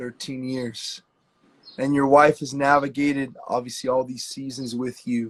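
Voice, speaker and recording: Speaking at a fairly slow pace, a man of medium pitch keeps a monotone, flat intonation while his loudness swings widely. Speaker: ministry leader interviewer. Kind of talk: interview.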